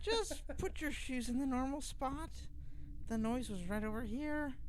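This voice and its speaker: A man's put-on character voice at an extremely high pitch and a moderate pace, with clear background noise. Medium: read story.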